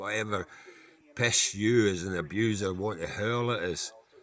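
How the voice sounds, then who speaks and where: Delivered at a fairly slow pace in a Scottish accent, the speech keeps a fairly even intonation. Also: man. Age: 60s. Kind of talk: casual talk to camera.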